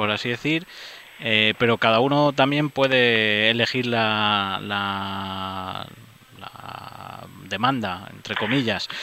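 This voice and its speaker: The voice belongs to a man. Its rise and fall in pitch is ordinary. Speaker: radio host. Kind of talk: radio interview.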